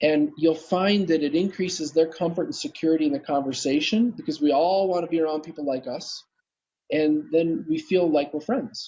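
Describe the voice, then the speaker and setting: A man's voice sits at a fairly high pitch, and it varies in an ordinary way. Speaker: dental practice coach. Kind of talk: interview on live video broadcast. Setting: live video stream. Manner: fast; energetic, intense.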